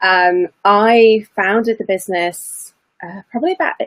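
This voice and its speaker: A woman with a British accent and a fairly high pitch, in dry, close sound with no echo. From UK. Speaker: mentor, former lawyer. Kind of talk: interview.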